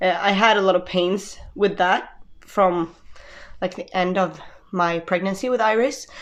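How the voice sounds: The speech moves at a fairly slow pace with fairly even intonation. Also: woman, medium pitch for a woman.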